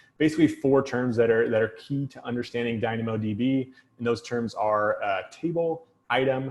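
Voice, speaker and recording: A man's medium-pitched voice, fairly even in intonation and fairly quick in pace. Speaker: tech consultant and trainer. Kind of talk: technical talk. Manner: fast.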